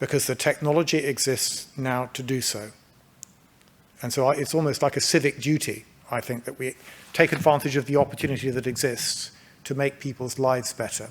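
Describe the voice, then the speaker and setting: Talking at a fairly quick pace, a man with a British accent keeps a medium pitch and fairly even intonation. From England. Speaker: healthcare company manager. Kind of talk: conference presentation. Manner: halting.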